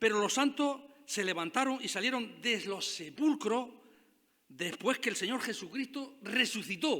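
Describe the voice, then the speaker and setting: A man projects a raised voice with a bright, sharp tone at a moderate pace. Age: 60s. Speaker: pastor. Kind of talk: sermon.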